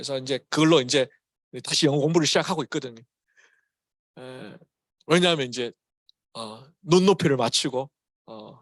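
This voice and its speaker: Fairly slow speech from a man with a Gyeongsang accent, in a dry, close sound with no echo. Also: quiet background. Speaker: pastor. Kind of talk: sermon. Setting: church. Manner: casual, mixes English words into Korean.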